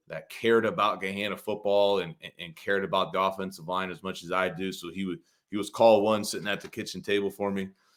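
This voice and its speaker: A man with a Midwestern US accent talks very fast at a fairly low pitch, with hardly any pauses and fairly even intonation. His loudness swings widely on a very clean recording with a silent background. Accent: US Midwest. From Ohio, US Midwest. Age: 30s. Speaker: football coach, podcast co-host. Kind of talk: casual chat.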